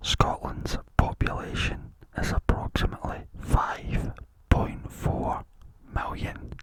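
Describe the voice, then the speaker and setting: Very slow whispering over noticeable background noise. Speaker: ASMR content creator. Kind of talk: ASMR whispered fact narration. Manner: whispered, soft-spoken, repeating words.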